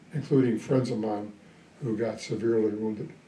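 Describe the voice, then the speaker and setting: With light background noise and audible room echo around him, a man speaks at a moderate pace. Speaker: retired Army colonel, Vietnam veteran. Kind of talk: interview answer. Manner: hesitant, reflective. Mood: reflective, calm.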